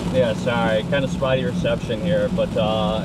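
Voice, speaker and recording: A man keeps a moderate speed as audible room echo and noticeable background noise surround his voice. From northern Illinois. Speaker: storm chaser, live streamer. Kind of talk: live stream commentary while driving. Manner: loud.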